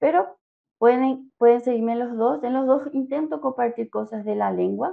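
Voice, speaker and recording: A woman at a high pitch and a moderate pace, with a Paraguayan accent. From Paraguay, Asunción. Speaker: Spanish teacher. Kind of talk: interview.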